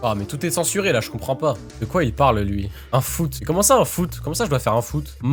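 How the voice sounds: With music playing in the background, a man talks at a fairly quick pace and a medium pitch, his pitch swinging very widely.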